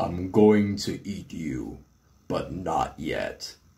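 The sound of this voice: In a booming, put-on character voice, a man speaks at a very slow pace with fairly low pitch.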